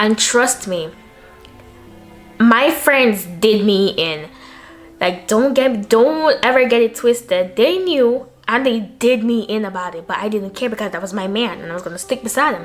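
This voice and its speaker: Over noticeable background noise, a woman with a fairly high pitch speaks at a moderate pace in an animated tone. Her intonation is lively, and her loudness swings widely. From Jamaica. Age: young. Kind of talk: casual talk to camera. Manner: chatty, animated.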